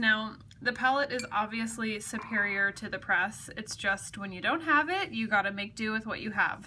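There is light background noise behind a woman speaking at a moderate pace. Her pitch variation is ordinary. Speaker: craft demonstrator. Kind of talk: tutorial. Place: home room. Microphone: phone near.

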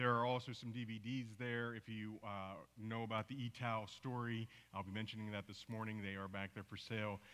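A man with an American accent talks at a fairly quick pace. His intonation is monotone and flat. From US, teen years in Papua New Guinea. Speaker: missionary; speaker. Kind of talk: church mission report talk. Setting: church service with congregation. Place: church.

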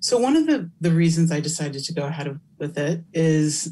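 Over noticeable background noise, a woman speaks with an American accent at a moderate pace. Her fairly low voice has a dark, mellow tone. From California. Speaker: academic researcher and keynote speaker; keynote speaker. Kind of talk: Q&A interview after keynote lecture. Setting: virtual conference. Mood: thoughtful, earnest. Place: home room. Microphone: webcam.

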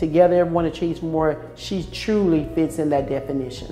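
Faint music plays in the background as a woman speaks at a fairly low pitch. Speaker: prison warden. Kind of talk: interview answer. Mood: warm, praising colleagues. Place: office.

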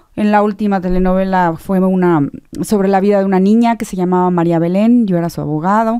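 A woman speaks with fairly even intonation. Her tone is dark and mellow. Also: fairly quick pace, quiet background. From Mexico. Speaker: theatre director and actress; actress. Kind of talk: radio interview. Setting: radio studio. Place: studio. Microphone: studio mic.

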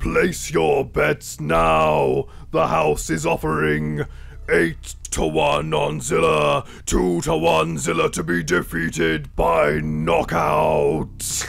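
A man puts on a character voice, resonant and very deep, low in pitch. He speaks at a very slow pace. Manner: booming, boastful.

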